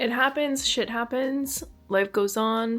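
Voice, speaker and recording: Music plays in the background as a woman speaks with a Canadian accent. Her pitch is fairly high, with ordinary variation. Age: 20s. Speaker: lifestyle vlogger. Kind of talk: casual talk to camera. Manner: chatty.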